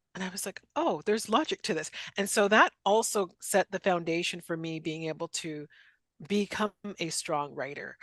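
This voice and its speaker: A woman with a Canadian accent and an ordinary speaking voice talks at a moderate pace and a fairly low pitch with ordinary variation, the sound dry and close with no echo against a quiet background. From western Canada. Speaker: author and career instructor. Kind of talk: interview.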